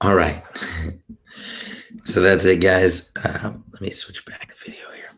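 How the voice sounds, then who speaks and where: Whispering at a fairly slow pace, broken by long, frequent pauses. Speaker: math tutor. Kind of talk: tutorial.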